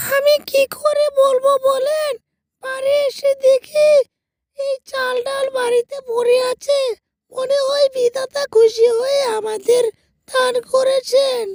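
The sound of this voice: A woman's cartoonish character voice at an extremely high pitch, monotone and flat, at a very slow pace, with a dry, close sound and no echo.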